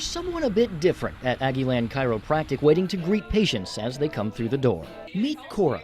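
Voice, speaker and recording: At a fairly quick pace, the voice swings very widely in pitch while music plays in the background. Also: man. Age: young. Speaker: TV news reporter. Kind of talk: TV news report.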